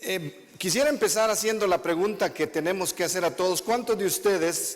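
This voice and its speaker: A man with a Guatemalan accent, high in pitch, at a moderate pace. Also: ordinary pitch variation. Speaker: visiting preacher. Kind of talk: sermon. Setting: church with congregation.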